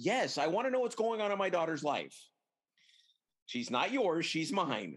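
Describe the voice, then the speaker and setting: At a moderate pace, a man speaks high for a man, his pitch swinging very widely while his loudness stays very even, broken by long, frequent pauses. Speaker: podcast host. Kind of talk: casual chat. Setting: video call.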